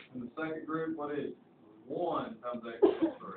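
This voice has a Southern US accent and a moderate pace. Noticeable background noise sits behind it. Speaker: high school math teacher. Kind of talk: classroom lecture. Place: classroom. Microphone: camera far.

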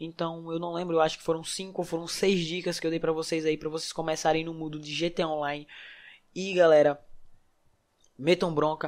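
A man talks at a fairly quick pace in a high pitch. His tone is animated. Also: very clean recording, silent background. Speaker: gaming youtuber. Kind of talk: tutorial. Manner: casual, animated.

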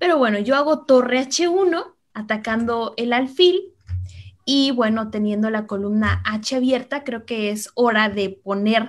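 Delivery is very slow. The voice shows ordinary pitch variation. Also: woman. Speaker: chess master and coach. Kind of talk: interview with chess game analysis.

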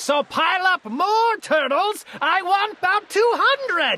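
A woman bellows in a put-on character voice at an extremely high pitch, bright and sharp in tone. She goes slowly, with big pitch swings.

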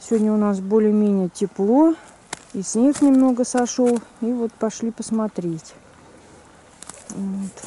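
A woman speaks at a very slow pace with long, frequent pauses and ordinary pitch variation, in a dry recording with no echo and light background noise. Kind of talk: casual vlog chat. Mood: calm, mildly surprised. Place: garden. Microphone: phone near.

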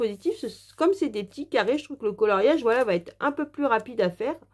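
In a very clean recording with a silent background, a woman with a high pitch talks very fast, her pitch swinging very widely. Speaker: YouTuber reviewing colouring books. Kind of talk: product review vlog. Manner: hesitant with many fillers.

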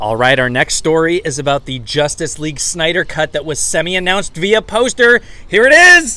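Clear music plays in the background as a man talks at a fairly quick pace. The sound is dry, with no echo. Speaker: pop culture vlogger. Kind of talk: casual vlog chat. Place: street. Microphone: handheld.

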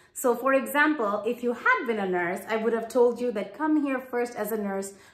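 A woman's voice with ordinary pitch variation at a moderate pace, with audible room echo. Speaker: career advice vlogger. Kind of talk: advice vlog talk. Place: home room.

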